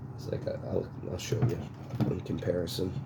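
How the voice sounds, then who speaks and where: A man whispers quietly at a moderate pace, with audible room echo. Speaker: chainsaw restorer. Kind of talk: casual unboxing tutorial. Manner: whispering, quiet; hesitant with fillers.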